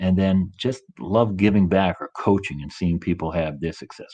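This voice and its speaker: A man with a Boston accent speaks in a very deep, low pitch and a dark, mellow tone. His intonation is fairly even against a quiet background. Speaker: coach and motivational speaker. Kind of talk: interview. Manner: fast.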